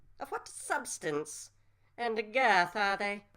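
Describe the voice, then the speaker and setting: In a put-on character voice, a female-sounding speaker talks very slowly at a medium pitch. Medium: audio drama. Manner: florid, archaic, condescending.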